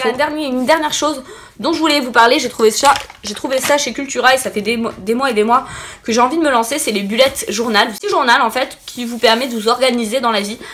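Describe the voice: Fast and fairly high-pitched, a woman talks with a fairly bright tone and ordinary pitch variation.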